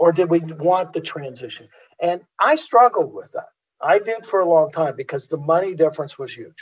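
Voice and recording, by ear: A man with a fairly high pitch, a slightly husky edge, lively intonation and a moderate pace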